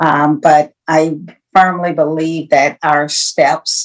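A woman speaks with an American accent, fairly low in pitch. Her intonation stays fairly even. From Ohio. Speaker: healthcare executive and leadership coach. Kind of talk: interview.

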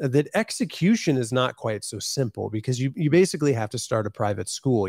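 Recorded very cleanly against a silent background, a man with an American accent speaks at a medium pitch, the sound dry and close with no echo. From US Midwest, northwest Ohio. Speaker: ministry founder and author. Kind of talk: interview.

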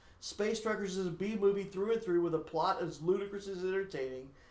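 A man speaks at a high pitch and moderate pace, his intonation fairly even, with noticeable background noise behind him. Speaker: podcast co-host reviewing movies. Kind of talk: casual chat; reading aloud.

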